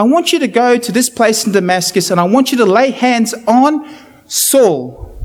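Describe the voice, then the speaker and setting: An animated man with an extremely high pitch and a New Zealand accent, using lively intonation at a moderate pace, with audible room echo. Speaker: preacher. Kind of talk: sermon. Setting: church.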